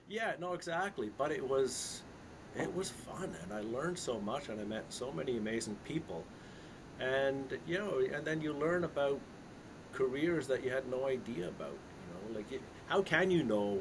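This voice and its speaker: A man speaks at a moderate pace with very wide swings in pitch, and the room echo is audible. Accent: Canadian. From Canada. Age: 60s. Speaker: investment consultant and author. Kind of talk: casual interview chat. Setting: live stream interview. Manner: conversational with many fillers and restarts.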